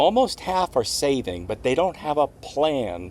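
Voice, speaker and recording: A man at a moderate pace, in an unremarkable speaking voice with lively intonation. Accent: American. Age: 60s. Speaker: retiree vlogger. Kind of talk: scripted talk to camera.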